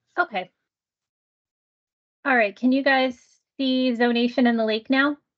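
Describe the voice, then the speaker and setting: A woman speaks at a high pitch and a moderate pace. Her loudness stays very even. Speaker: aquatic plant educator. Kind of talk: webinar presentation. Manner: voice may go in and out.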